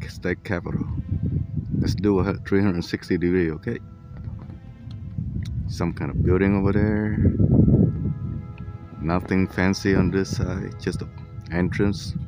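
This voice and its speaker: A man's very deep, low voice with fairly even intonation, long and frequent pauses, a dry sound with no echo, and clear music in the background. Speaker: travel vlogger. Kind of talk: casual vlog commentary. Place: street.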